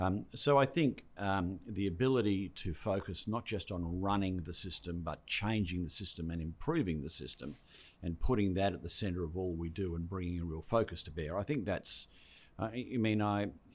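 Very deep and low in pitch, a man speaks at a moderate pace with ordinary pitch variation in a very clean recording with a silent background. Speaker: education department head. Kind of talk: interview podcast.

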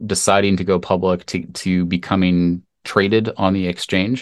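Speaking with a Canadian accent, a man uses an ordinary speaking voice at a fairly low pitch. He talks at a fairly slow pace on a very clean recording with a silent background. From Canada. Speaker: tech entrepreneur. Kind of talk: interview.

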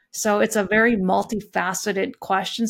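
A woman's voice with a western Canadian accent and fairly even intonation, on a very clean recording with a silent background. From Canadian prairies, Alberta (Lethbridge area). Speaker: risk and governance expert, accountant. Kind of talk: interview, expert discussion.

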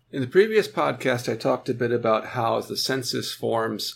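With vocal fry, a man talks at a moderate pace on a very clean recording with a silent background. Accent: American. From United States. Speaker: author and scholar on racial discrimination. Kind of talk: interview.

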